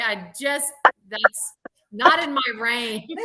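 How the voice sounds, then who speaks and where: A woman speaks in a raised, projected voice with ordinary pitch variation. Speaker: guest. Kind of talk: casual chat.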